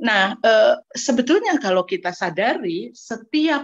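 A very slow woman's voice, fairly high in pitch, with very wide pitch swings over a quiet background. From Indonesia, West Java (Ciamis); West Java, Indonesia. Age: 60s. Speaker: gender researcher; presenter. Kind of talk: online seminar presentation. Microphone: video call.

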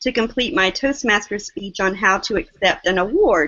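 Speaking with a Southern US accent, a woman uses a fairly high pitch and lively intonation. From US South, small-town South Carolina. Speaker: online seller, guest; interview guest. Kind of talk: interview; interview answer. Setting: video call. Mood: excited, warm storytelling. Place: home room. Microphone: video call.

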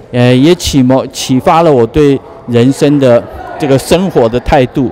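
Over light background noise, a man speaks at a fairly slow pace with ordinary pitch variation, the sound dry with no echo. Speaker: former student of the painter, interviewee. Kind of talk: interview answer. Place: hall. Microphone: handheld.

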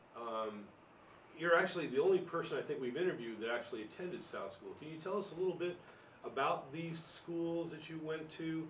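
Over noticeable background noise, a man with a high pitch talks at a fairly quick pace, his pitch varying in an ordinary way and his loudness swinging widely. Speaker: local history interviewer. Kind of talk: oral history interview. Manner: casual, friendly.

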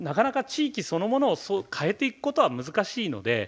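This man talks at a moderate pace in a high voice with very wide pitch swings. The background is quiet. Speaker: professor of geography; keynote lecturer. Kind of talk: keynote lecture. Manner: halting, many fillers; serious, somewhat stiff. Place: hall.

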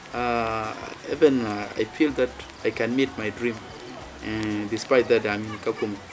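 Background music is present. Over it, a man talks at a moderate pace. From South Sudan. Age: 20s. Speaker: refugee footballer and youth leader. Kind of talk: interview answer. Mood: proud, hopeful. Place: open country.

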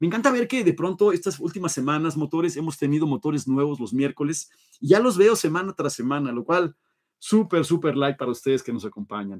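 An animated man speaks at a fairly quick pace and fairly high pitch. His pitch swings very widely against a quiet background. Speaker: live show host, toy car collector; live show host. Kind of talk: livestream chat reading viewer comments. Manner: fast. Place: home room.

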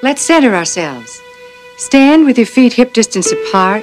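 A woman with a Southern US accent, plus noticeable background noise. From Southern United States. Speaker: yoga instructor. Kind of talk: guided yoga instruction.

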